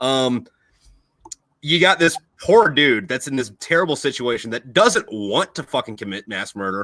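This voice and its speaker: A man with an American accent talks at a moderate pace and medium pitch. His tone is bright, sharp and animated, and the sound is dry and close with no echo. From USA. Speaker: podcast host, Marine Corps veteran. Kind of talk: casual chat.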